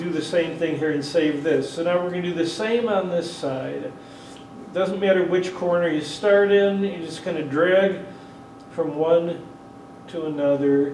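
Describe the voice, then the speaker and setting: A loud, high-pitched male voice at a fairly slow pace with fairly even intonation, amid noticeable background noise and audible room echo. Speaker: 3D photography workshop presenter. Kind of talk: workshop tutorial with live demonstration. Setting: convention workshop room with audience; PA system. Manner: casual, with frequent hesitations.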